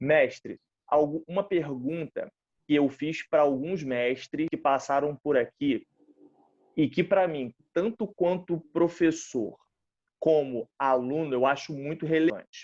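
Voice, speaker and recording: A man's fairly high-pitched voice at a very slow pace, with ordinary pitch variation and a dry, close sound with no echo. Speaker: interviewer, kung fu instructor. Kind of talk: interview. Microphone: connection cutting out.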